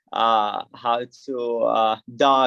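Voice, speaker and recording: In a dry, close recording with no echo, a man speaks with an Arabic accent. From Saudi Arabia. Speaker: skydiver and immigrant guest. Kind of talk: casual interview chat. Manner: halting.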